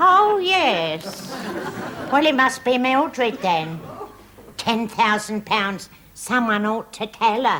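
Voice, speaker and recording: A put-on character voice at a very slow pace, with long, frequent pauses and very wide pitch swings. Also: woman, fairly high pitch for a woman. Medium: short film. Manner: vague, rambling.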